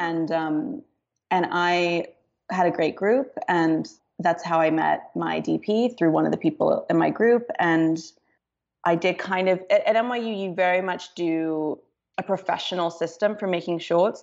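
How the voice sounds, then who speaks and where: Spoken at a fairly slow pace with ordinary pitch variation and an American accent, this is a plain, everyday voice. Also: woman, fairly low pitch for a woman. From London, then Los Angeles from age nine. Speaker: filmmaker. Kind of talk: interview.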